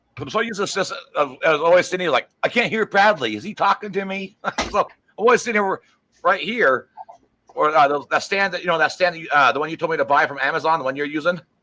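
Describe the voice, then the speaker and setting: Loud and very fast, a man speaks at a high pitch with lively intonation. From Las Vegas, US. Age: 40s. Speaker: live streamer and craftsman. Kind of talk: casual chat.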